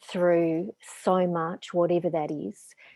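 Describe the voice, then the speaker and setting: A woman speaks with an Australian accent in a fairly low voice. Her pace is very slow and her intonation fairly even. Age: 50s. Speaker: spiritual teacher and author. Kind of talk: casual chat.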